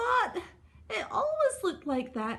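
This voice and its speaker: In a put-on character voice, a woman sounds squeaky at an extremely high pitch. Her pitch swings very widely at a fairly slow pace. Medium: read story.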